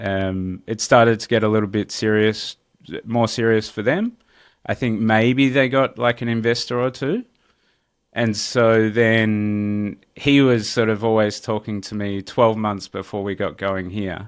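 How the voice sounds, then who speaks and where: A man talks at a fairly slow pace with an Australian accent. His pitch is fairly low and his intonation fairly even. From Australia, Melbourne. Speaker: real estate entrepreneur. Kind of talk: interview. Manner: casual, many fillers.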